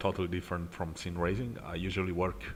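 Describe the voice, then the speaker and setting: Speaking with an Italian accent, a man uses a very deep, low pitch. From Italy. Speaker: sim racing streamer. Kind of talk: live gameplay commentary. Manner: halting, many fillers.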